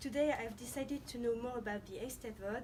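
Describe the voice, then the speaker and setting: Speaking at a fairly quick pace with a French accent, a woman with a fairly high pitch is heard over noticeable background noise and audible room echo. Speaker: student interviewer. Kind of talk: scripted introduction; interview.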